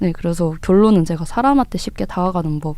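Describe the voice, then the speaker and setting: A woman with a dark, mellow tone and medium pitch talks at a fairly quick pace with ordinary pitch variation. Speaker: student podcast co-host. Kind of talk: casual podcast chat.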